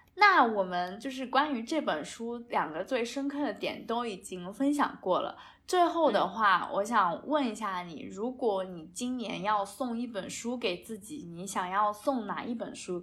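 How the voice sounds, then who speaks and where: Her voice is a plain, everyday voice, fairly high in pitch, with lively intonation and big swings in loudness. This woman talks at a fairly slow pace with hardly any pauses. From China. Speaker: podcast co-host. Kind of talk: casual chat.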